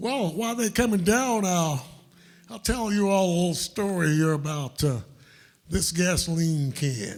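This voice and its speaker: Lively intonation comes through at a fairly slow pace on a very clean recording with a silent background. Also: man, high pitch for a man. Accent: Southern US. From US South, upstate South Carolina. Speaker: blues musician. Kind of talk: storytelling on stage. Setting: stage with audience.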